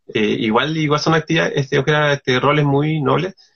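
Fairly high-pitched, this man has an unremarkable speaking voice. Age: 30s. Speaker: illustrator and artist. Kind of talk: casual interview.

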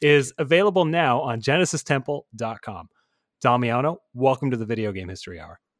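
A man's ordinary speaking voice at a medium pitch, fairly quick, with lively intonation and big swings in loudness, in a dry, close sound with no echo and a very clean recording over a silent background. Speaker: podcast co-host. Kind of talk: casual interview.

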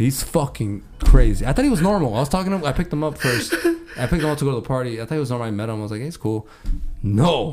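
Over noticeable background noise, a man talks at a very fast pace with a medium pitch and lively intonation. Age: 20s. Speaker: podcast host. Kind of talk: casual chat. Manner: animated.

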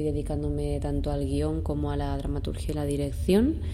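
Her very deep, low voice keeps a fairly even intonation, and audible room echo surrounds the woman. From Spain, Valencia region (Ayora). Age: 20s. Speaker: playwright and stage director. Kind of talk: interview monologue.

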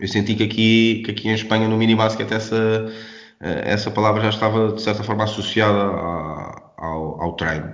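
A man with a fairly low pitch talks at a moderate pace, his intonation fairly even. Room echo is audible, and there is noticeable background noise. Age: 30s. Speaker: basketball coach. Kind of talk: interview. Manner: halting.

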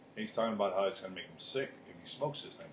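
Noticeable background noise sits under a man talking very fast at a medium pitch. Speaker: podcast co-host. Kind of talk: casual chat. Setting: smoke shop.

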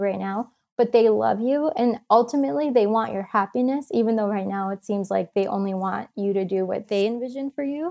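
A woman with an American accent speaks at a moderate pace in a fairly high pitch, with ordinary pitch variation and an unremarkable speaking voice. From US Midwest, Michigan. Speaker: travel photographer and author. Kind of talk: casual interview.

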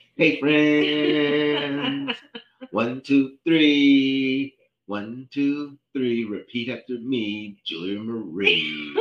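A put-on character voice at a low-to-middle pitch and a very slow pace. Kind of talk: talking to small children. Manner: bright, sing-song, cheerful.

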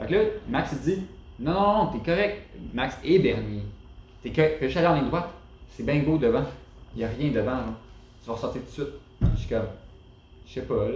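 With audible room echo, a man in a Quebec accent speaks at a fairly quick pace, his lively intonation broken by long, frequent pauses. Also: fairly high pitch for a man. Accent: Québécois French. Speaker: off-road driver. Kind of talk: casual chat.

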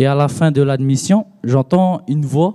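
With a dark, mellow tone and ordinary pitch variation, a man speaks at a very slow pace, the sound dry and close with no echo. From Tahiti. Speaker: theology student. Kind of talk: testimony.

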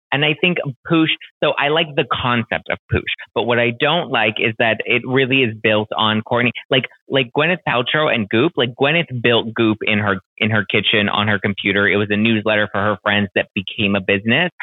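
Speaking in a normal speaking voice, a man holds a medium pitch with ordinary pitch variation. His pace is moderate and his loudness very even. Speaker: podcast host. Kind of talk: casual chat, pop culture talk. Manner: casual, chatty, uses filler words.

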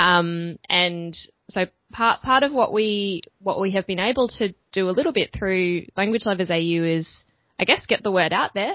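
This woman's voice sits at a medium pitch, moving at a moderate pace with ordinary pitch variation. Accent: Australian. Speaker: language event organizer. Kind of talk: casual interview chat. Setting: video call.

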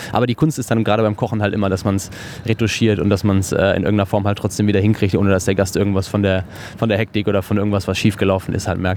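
Over noticeable background noise, a man speaks very fast in a flat monotone. His loudness stays very even. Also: fairly low pitch for a man. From western Germany, near Cologne. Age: 30s. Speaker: chef. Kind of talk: interview. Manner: hesitant with filler words and repetitions.

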